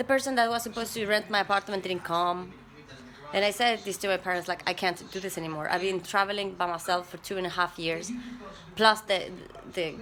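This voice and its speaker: The pitch variation is ordinary. The speaker is a woman. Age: 30s. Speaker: vlogger. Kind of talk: personal vlog monologue. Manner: halting, with frequent repetitions.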